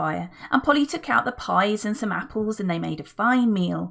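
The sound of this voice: The voice reads in an unforced way.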